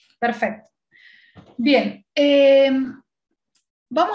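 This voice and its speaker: Audible room echo around a woman's high voice. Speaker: guest lecturer in human relations. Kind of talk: lecture.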